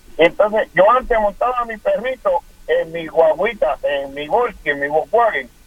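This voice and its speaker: With noticeable background noise around him, a high-pitched man speaks with lively intonation. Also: moderate pace. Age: 40s. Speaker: caller. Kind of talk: call-in chat.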